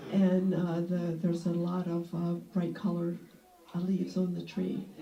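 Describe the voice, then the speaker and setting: A woman speaks at a fairly low pitch with audible room echo. Music plays in the background. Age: 60s. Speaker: retired nurse. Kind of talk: casual group discussion. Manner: halting, many fillers.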